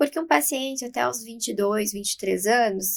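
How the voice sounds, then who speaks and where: Fairly high in pitch, a woman uses an ordinary speaking voice with lively intonation. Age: 20s. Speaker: aesthetics clinician. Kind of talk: podcast interview.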